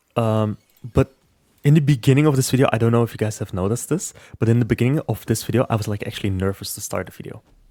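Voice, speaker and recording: A man's dark, mellow voice at medium pitch, ordinary pitch variation, and a very fast pace. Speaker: gaming YouTuber. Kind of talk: casual gameplay commentary. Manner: hesitant, repeats words; stutters when nervous.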